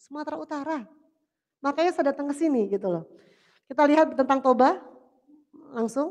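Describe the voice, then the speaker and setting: Against a quiet background, a woman with a high pitch talks at a fairly quick pace in an animated tone with lively intonation and long, frequent pauses. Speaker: government official. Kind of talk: formal speech. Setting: venue with live audience. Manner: animated, exhortative. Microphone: video call.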